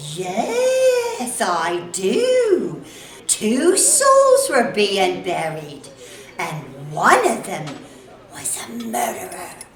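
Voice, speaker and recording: A woman's put-on character voice at medium pitch, with big swings in loudness, a very slow pace and slight echo. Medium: audio drama. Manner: brisk, blunt.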